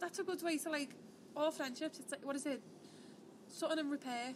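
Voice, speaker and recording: A woman at a very fast pace with ordinary pitch variation, music in the background. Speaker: podcast host. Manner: fast talker.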